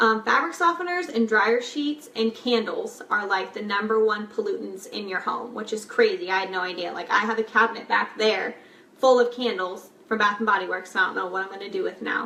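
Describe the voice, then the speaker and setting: Against noticeable background noise, a woman speaks at a fairly quick pace with a fairly high pitch and lively intonation. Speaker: lifestyle vlogger, mom. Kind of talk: casual tutorial. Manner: fast; casual, chatty with many fillers.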